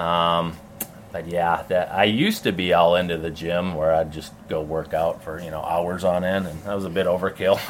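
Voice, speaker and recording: Speaking in an American accent, a man talks at a moderate pace with a very deep, low pitch. His intonation is monotone and flat, with noticeable background noise. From Minnesota, US Midwest. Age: 40s. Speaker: professional BMX flatland rider. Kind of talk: casual interview.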